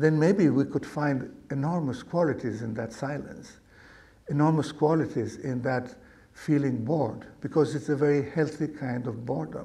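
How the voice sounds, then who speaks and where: A man's fairly high, somewhat breathy voice with a dark, mellow tone, ordinary pitch variation and a moderate pace. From Argentina. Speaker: meditation teacher. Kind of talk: dharma talk to live audience.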